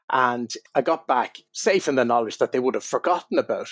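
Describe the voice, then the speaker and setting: Someone talks very fast with an Irish accent and ordinary pitch variation, recorded with a dry, close sound and no echo. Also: man. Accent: Irish brogue. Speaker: wine writer. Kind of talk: interview storytelling.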